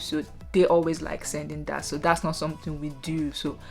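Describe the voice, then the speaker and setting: With music in the background, a woman speaks in a Nigerian accent. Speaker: nurse. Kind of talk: casual talk to camera.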